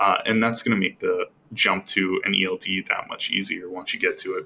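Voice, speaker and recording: Fairly quick in pace, a man talks while noticeable noise fills the background. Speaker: webinar presenter. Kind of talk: product webinar presentation. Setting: online webinar broadcast. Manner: many fillers and restarts.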